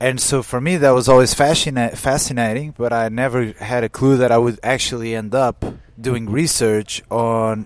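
A man speaks at a moderate pace and medium pitch, with hardly any pauses. His intonation is fairly even, and background noise is noticeable. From Portugal. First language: Portuguese. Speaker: climate scientist. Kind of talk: interview. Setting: conference.

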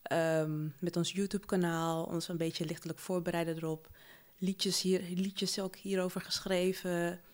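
In a very clean recording with a silent background, a woman of medium pitch speaks at a moderate pace in a monotone, flat delivery. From Suriname. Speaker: podcast co-host. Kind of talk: casual chat.

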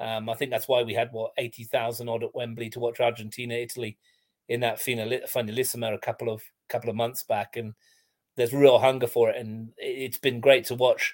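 A man with an English accent at medium pitch, fairly quick and monotone with flat intonation, in a dry, close sound with no echo. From England. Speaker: football commentator and writer. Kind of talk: casual chat.

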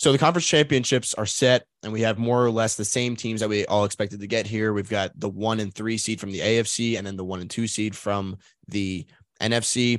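In an unremarkable speaking voice, a man talks at a moderate pace with a fairly low pitch and fairly even intonation. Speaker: sports podcast host. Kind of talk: casual sports podcast chat.

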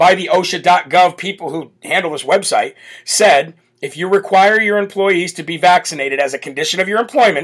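A man talks loudly at a fairly quick pace, his voice high-pitched, croaky and raspy. The tone is fairly bright, with ordinary pitch variation.

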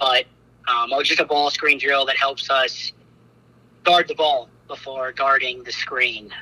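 With noticeable background noise but a dry, close sound and no echo, a man talks at a fairly slow pace with a fairly high pitch and fairly even intonation. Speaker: college basketball head coach. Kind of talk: interview.

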